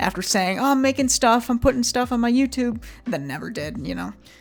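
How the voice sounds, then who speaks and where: Music plays in the background. A woman talks over it at a moderate pace. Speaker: YouTuber. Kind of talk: casual vlog monologue. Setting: home webcam recording. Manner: rambling, halting.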